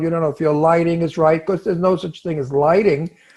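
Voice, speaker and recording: A high-pitched man with a Brooklyn accent and fairly even intonation. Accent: Brooklyn, New York. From New York, Brooklyn. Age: 80s+. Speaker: actor. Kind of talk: casual chat.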